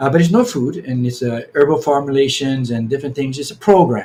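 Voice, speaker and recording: Somewhat breathy and fairly high-pitched, a man talks fairly quickly with ordinary pitch variation. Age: 70s. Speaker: Hawaiian healing practitioner. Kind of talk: podcast interview. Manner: halting, many repetitions.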